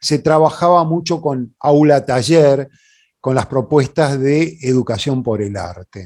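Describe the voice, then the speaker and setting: With a Rioplatense accent, a man talks in a medium pitch and a dark, mellow tone against a quiet background. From Buenos Aires, Argentina. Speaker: puppeteer and workshop leader. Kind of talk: conference talk. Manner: hesitant, informal.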